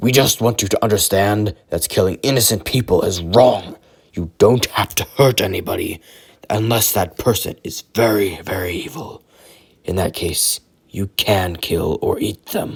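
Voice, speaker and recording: In a put-on character voice, a man growls at a fairly low pitch and a moderate pace in a very clean recording with a silent background. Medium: read story. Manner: formal, speaks without contractions.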